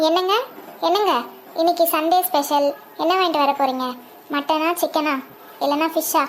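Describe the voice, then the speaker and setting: A female-sounding cartoonish character voice, extremely high in pitch, at a moderate pace over clear background noise. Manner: nagging, contrary.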